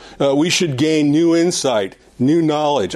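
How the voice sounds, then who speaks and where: A man talks at a middling speed while background noise is clearly audible. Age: 70s. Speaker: Sunday school teacher. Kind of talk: prayer; Bible lesson lecture. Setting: church classroom with audience. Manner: halting, with many fillers and repetitions.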